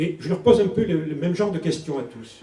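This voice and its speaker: This man's tone is dark and mellow. His voice is somewhat breathy. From southern France, Toulon. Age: 60s. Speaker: politician, election candidate. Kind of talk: campaign speech at public meeting. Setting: public meeting hall with audience.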